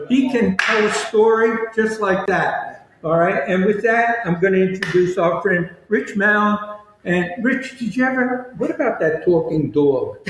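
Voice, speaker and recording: This man talks at a fairly slow pace in a high pitch, with lively intonation and very even loudness. Noticeable background noise runs underneath. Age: 80s+. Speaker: podcast co-host. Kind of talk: casual chat. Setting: remote broadcast at senior living facility.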